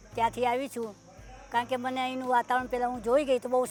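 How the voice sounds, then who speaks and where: With music in the background, a woman speaks at a high pitch. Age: 80s+. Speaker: retirement home resident. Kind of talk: interview answer.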